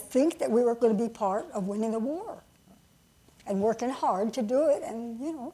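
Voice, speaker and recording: A woman's fairly high voice has a dark, mellow tone and ordinary pitch variation. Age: 90s. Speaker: former wartime aircraft factory worker. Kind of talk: panel interview. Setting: stage with audience. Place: stage.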